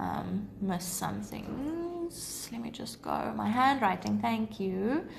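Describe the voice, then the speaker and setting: Audible room echo and noticeable background noise surround a voice moving at a very slow pace. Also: woman. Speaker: maths teacher. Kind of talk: livestream tutorial; casual Q&A with viewers. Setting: live stream.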